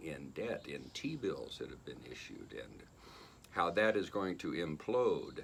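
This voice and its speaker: The man talks at a fairly slow pace with vocal fry, and room echo is audible. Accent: American. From United States. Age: 70s. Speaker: vlogger. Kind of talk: casual monologue. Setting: wearing a mask. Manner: halting, many fillers.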